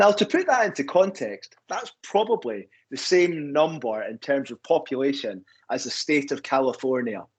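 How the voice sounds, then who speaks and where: With a Scottish accent, a man talks fairly slowly in a fairly high pitch that swings very widely. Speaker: university recruitment representative. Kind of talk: webinar presentation.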